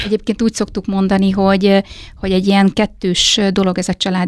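Fairly quick speech in a monotone with flat intonation has a dry, close sound with no echo. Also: woman. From eastern Hungary, Hajdúdorog. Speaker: head of a family and child welfare centre. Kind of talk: interview.

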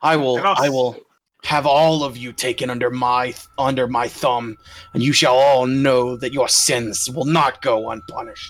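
A man's put-on character voice, growling and menacing in tone, at medium pitch and a fairly slow pace.

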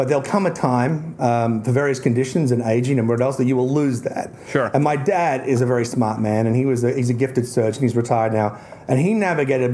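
A man with an Australian accent at a medium pitch, fairly quick pace with hardly any pauses, ordinary pitch variation, and noticeable background noise. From Tasmania, Australia. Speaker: author and conservationist guest. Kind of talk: casual chat.

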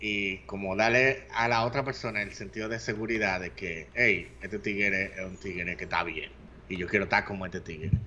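A man with a Dominican accent speaks at a fairly low pitch with ordinary pitch variation. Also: moderate pace. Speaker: podcast co-host. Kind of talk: casual chat.

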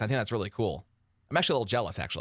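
An animated man speaks with an American accent. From Michigan, Detroit suburbs. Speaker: radio host. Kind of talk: casual chat. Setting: video call. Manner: fast.

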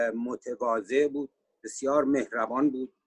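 A man speaks at a fairly slow pace, the sound dry and close with no echo. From Iran, Sari (Mazandaran). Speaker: economist and musician. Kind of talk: panel discussion interview.

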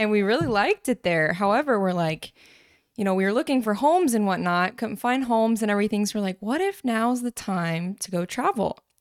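A woman with a Southern US accent speaks at a fairly quick pace, her voice fairly high with lively intonation. The very clean recording has a silent background and a dry, close sound with no echo. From North Carolina, US. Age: 20s. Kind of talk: casual chat, podcast intro.

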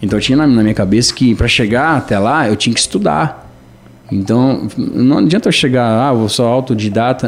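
With noticeable background noise behind him, a man talks at a moderate pace in a medium pitch. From Brazil, São Paulo north coast (Caraguatatuba). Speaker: musician. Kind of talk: radio interview.

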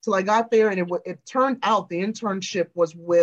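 A woman speaks at medium pitch with an American accent. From Chicago South Suburbs, Illinois. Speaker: celebrity journalist and screenwriter. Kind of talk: interview conversation. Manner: animated.

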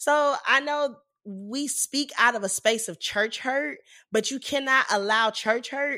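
Speaking at a fairly slow pace with a strong Southern US accent, a woman has an animated, playful tone and ordinary pitch variation, on a very clean recording with a silent background. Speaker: podcast host and ministry leader. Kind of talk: casual chat about faith.

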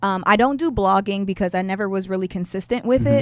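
Recorded very cleanly against a silent background, a plain, everyday voice moves with ordinary pitch variation. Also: woman. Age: 30s. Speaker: YouTube content creator. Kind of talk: casual interview.

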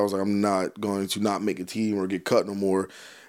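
In an American accent, a man talks at a very fast pace with a fairly low pitch, on a very clean recording with a silent background. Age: 20s. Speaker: football coach. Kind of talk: casual chat.

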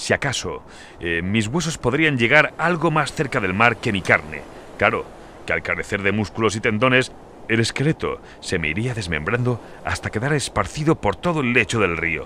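Using a theatrical, playful tone, a man at medium pitch speaks at a moderate pace with very wide pitch swings. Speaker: audiobook narrator. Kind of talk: dramatic fiction narration, voicing characters. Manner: theatrical, playful and menacing, jovial tone turning to dark glee; shifts between narration and character dialogue.

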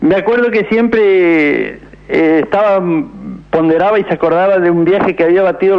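Noticeable background noise is present. Over it, a man speaks in a high pitch. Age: 80s+. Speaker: retired truck driver. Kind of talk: radio call-in. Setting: phone call.

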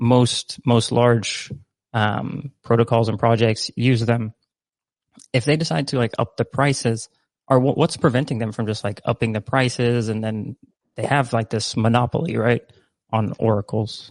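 A man with a plain, everyday voice speaks at medium pitch with fairly even intonation, the sound dry and close with no echo against a quiet background. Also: moderate pace. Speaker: livestream host. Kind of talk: casual chat. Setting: live stream.

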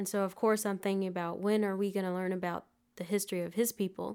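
A woman with a Southern US accent speaks at a medium pitch, her intonation flat and monotone. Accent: US South. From Alabama, Prattville. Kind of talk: interview.

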